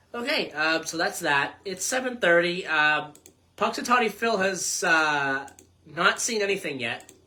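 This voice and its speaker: With a Boston accent, a woman talks at a fairly slow pace in a fairly low pitch with lively intonation over noticeable background noise. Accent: New England (Boston area). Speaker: local radio host. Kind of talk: casual radio chat. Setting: radio studio. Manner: halting, many fillers.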